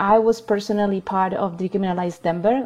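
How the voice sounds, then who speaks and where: A woman in a Spanish accent, very fast, with a dark, mellow tone. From Chile. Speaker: healing circle facilitator and activist. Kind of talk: interview conversation.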